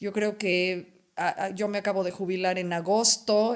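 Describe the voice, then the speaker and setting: A woman speaks at a moderate pace with a medium pitch. Her intonation stays fairly even. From Mexico, Puebla. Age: 60s. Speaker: retired educator. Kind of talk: interview conversation. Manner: halting.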